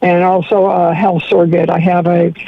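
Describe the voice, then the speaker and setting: A woman's medium-pitched voice over noticeable background noise. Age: 70s. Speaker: caller. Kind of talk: radio call-in question. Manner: halting.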